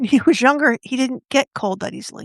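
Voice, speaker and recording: Vocal fry from a woman at a moderate pace. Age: 50s. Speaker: travel advisor and podcast host. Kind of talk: casual monologue. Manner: conversational, slightly halting.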